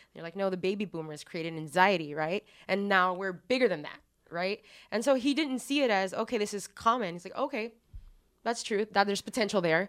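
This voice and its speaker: Lively intonation in an American accent at a fairly quick pace, with big swings in loudness and a very clean recording, silent background. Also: woman, medium pitch for a woman. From Texas. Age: 20s. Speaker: guest. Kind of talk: casual conversational podcast.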